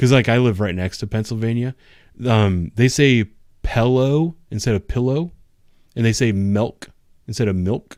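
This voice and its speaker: A man talks at a medium pitch and a moderate pace with ordinary pitch variation. He leaves long, frequent pauses. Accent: Ohio. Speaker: police officer and YouTuber. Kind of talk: casual chat. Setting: live stream.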